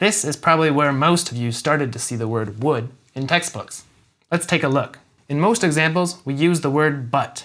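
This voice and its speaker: The speaker has an American accent and a plain, everyday voice. The pace is moderate, with ordinary pitch variation. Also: man, fairly high pitch for a man. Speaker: English teacher. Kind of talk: English lesson to camera. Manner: clear, upbeat.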